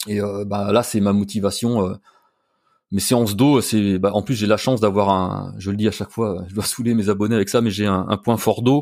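A man's fairly low-pitched, unremarkable speaking voice at a moderate pace, with fairly even intonation, on a very clean recording with a silent background. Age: 50s. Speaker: YouTuber and cosplay performer. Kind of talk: casual interview.

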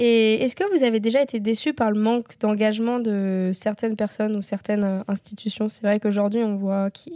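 With hardly any pauses, a woman speaks at a moderate pace and fairly high pitch, keeping a fairly even intonation in a dry, close sound with no echo. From Normandy, France. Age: 20s. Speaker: student and equestrian athlete. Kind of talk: interview, asking questions. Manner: hesitant, many fillers.

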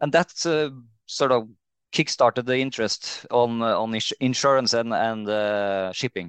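A man with a Norwegian accent speaks at a fairly slow pace, medium-pitched with ordinary pitch variation. The sound is dry and close with no echo, over a quiet background. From Norway, Trondheim. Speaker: CEO of a marine insurer. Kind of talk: interview. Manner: hesitant, many fillers.

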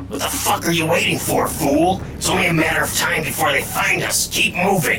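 A man speaks in a high, put-on character voice at a fairly quick pace. Loud background noise runs underneath. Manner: contemptuous, insulting.

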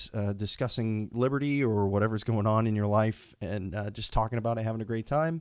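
On a very clean recording with a silent background, a man with an American accent has a normal speaking voice, a fairly low pitch and a moderate pace. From Texas, Houston. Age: 20s. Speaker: podcast host. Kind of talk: unscripted solo monologue. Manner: casual with frequent fillers.

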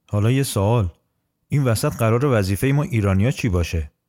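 Lively intonation marks a man's unremarkable speaking voice, fairly low in pitch at a moderate pace, on a very clean recording with a silent background. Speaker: podcast host. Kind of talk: scripted narration.

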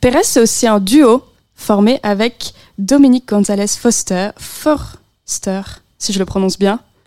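Very slowly, a woman speaks in a dark, mellow tone with a dry, close sound and no echo. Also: medium pitch for a woman, ordinary pitch variation. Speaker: radio host. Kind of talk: casual chat. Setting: studio.

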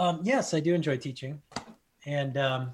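Somewhat breathy and fairly high, a man's voice with an American accent keeps a fairly even intonation. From US Midwest, South Bend, Indiana. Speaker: anthropology professor. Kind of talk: casual interview.

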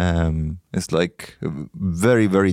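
Very clean audio of a man against a silent background, the sound dry and close with no echo. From Egypt. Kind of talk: casual chat.

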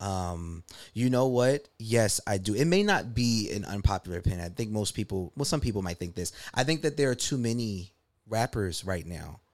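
A man with an American accent and a normal speaking voice talks at a moderate pace and a fairly low pitch. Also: lively intonation, very clean recording, silent background. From US East Coast. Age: 30s. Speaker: rapper. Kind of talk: casual chat.

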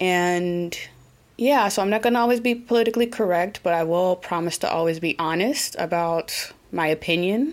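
A woman with an American accent at a fairly low pitch, moderate pace, ordinary pitch variation and very even loudness, on a very clean recording with a silent background. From Oklahoma, US. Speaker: podcast host. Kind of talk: casual solo podcast monologue. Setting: living in Germany.

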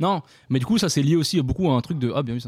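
A man talking at a very fast pace, in a very clean recording with a silent background. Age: 20s. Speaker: podcast co-host. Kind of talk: casual chat.

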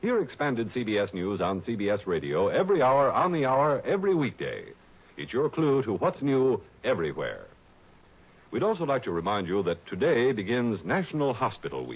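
At a moderate pace, a man with a slightly husky edge swings very widely in pitch. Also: medium pitch for a man.

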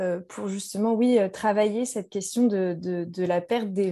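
A woman speaks fairly slowly at a medium pitch, her intonation fairly even. Her tone is dark and mellow. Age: 30s. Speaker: journalist. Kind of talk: casual discussion.

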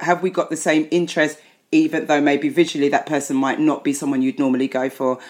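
A woman talks very fast with a very deep, low pitch. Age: 50s. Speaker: psychotherapist. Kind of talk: casual chat. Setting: video call.

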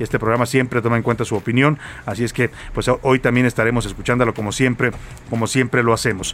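A man speaks very fast at a medium pitch, with monotone, flat intonation. Noticeable background noise sits behind him. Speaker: radio news host. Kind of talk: radio news show. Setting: radio studio.

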